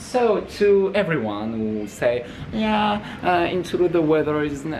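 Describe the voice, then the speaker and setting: A man's high-pitched voice with very wide pitch swings, over light background noise. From France. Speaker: student. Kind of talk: casual vlog talk to camera, in English. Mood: playful, mock complaining. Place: home room. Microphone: phone near.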